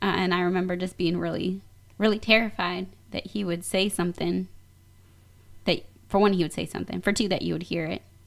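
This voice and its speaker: In an American accent, a woman speaks at a medium pitch and a fairly quick pace, with vocal fry, monotone, flat intonation, and long, frequent pauses. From US Midwest. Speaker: radio show guest. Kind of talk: casual conversation.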